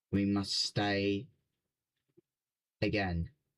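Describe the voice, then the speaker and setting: At a very slow pace, a man talks at a fairly low pitch. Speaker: gaming streamer. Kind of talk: live stream reaction. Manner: halting.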